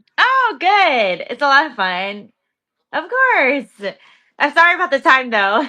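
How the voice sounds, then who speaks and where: With an American accent, a woman in a high, bright, sharp voice speaks at a fairly slow pace, her raised, projected delivery showing very wide pitch swings and big swings in loudness. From New York. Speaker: professional wrestler. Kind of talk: interview. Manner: casual, friendly.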